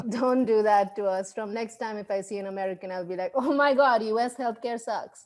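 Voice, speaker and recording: A woman's fairly quick speech with a non-native accent, fairly high pitch, fairly even intonation and hardly any pauses. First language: not English. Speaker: comedian. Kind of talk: stand-up.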